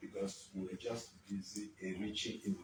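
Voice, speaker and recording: The speaker is a man at a moderate pace. His voice is somewhat breathy. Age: 80s+. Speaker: elder statesman, economist. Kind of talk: interview answer.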